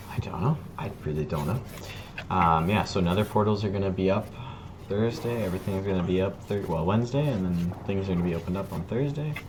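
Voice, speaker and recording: Amid noticeable background noise and audible room echo, a man talks at a very fast pace in a fairly low pitch with ordinary pitch variation. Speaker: Minecraft server streamer. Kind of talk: casual chat. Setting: live stream.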